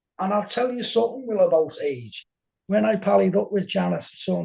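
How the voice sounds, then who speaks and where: A man with a Liverpool accent talks at a fairly quick pace, recorded with a dry, close sound and no echo. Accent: Scouse. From Liverpool, England. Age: 60s. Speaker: game show contestant, paranormal event organiser. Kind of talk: podcast interview.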